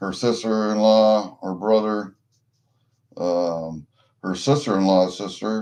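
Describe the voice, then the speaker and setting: With a Midwestern American accent, a man speaks very slowly in a dark, mellow, fairly low voice with fairly even intonation. He leaves long, frequent pauses against a quiet background. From US Midwest, Iowa. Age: 60s. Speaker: livestreamer, coin collector. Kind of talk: casual chat. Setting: livestream. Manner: rambling, profane.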